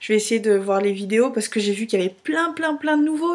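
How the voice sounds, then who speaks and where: Here a woman talks with lively intonation. Noticeable background noise is present. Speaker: vlogger. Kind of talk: casual video blog.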